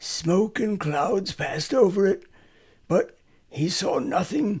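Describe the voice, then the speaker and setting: A man's raspy, high-pitched put-on character voice, fairly slow, with very wide pitch swings. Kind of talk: old-fashioned fairy tale reading. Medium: read story.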